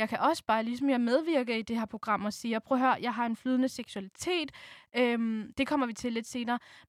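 A woman speaks fairly quickly in a high pitch with fairly even intonation. The recording is very clean, with a silent background and a dry, close sound free of echo. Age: 20s. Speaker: student. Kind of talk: personal interview.

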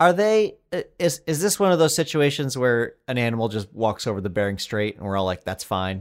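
Here a man with an American accent talks fairly quickly at medium pitch, hardly pausing at all. His pitch swings very widely, and the recording is very clean with a silent background. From Colorado. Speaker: comedy writer and podcast co-host. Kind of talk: casual chat.

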